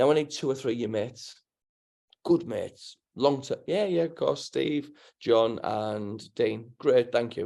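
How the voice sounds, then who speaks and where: This man speaks in a Teesside accent with a dark, mellow tone at a medium pitch and ordinary pitch variation. The recording is very clean, with a silent background. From northern England, Middlesbrough. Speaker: financial services entrepreneur. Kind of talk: interview. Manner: fast; animated.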